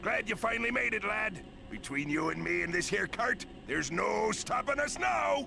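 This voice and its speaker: A man does a put-on character voice at a moderate pace. Loud background noise is present. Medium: game stream. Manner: gruff, bossy.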